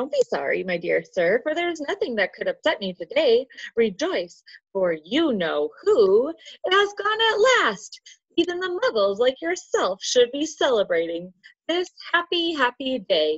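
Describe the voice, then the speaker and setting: Squeaky and high-pitched, a woman speaks in a put-on character voice. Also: moderate pace. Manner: jovial, delighted.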